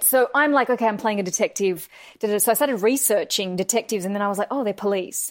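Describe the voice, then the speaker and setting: In an Australian accent, a woman speaks at a fairly high pitch with lively intonation, her sound dry and close with no echo in a very clean recording with a silent background. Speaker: actress. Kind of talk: casual chat.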